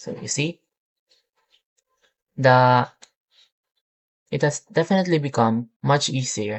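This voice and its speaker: In a non-native accent, the speaker talks at a very slow pace with long, frequent pauses. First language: not English. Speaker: student demonstrating a software project. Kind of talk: software tutorial demo. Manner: halting, many fillers.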